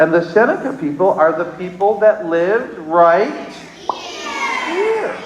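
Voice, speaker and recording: This man has an American accent and a high pitch, and he talks at a very slow pace with lively intonation. Audible room echo and noticeable background noise fill the recording. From Onondaga Nation, New York. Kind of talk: storytelling to young children. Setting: school assembly with children. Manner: animated.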